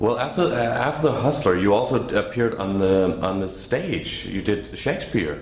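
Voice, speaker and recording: The voice flows with hardly any pauses and lively intonation over noticeable background noise. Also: man, fairly low pitch for a man, moderate pace. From Denmark. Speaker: interviewer. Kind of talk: interview questions.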